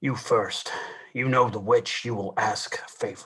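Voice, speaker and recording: A raspy put-on character voice from a man, medium in pitch, at a moderate pace. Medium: stage play. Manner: terse, clipped, commanding.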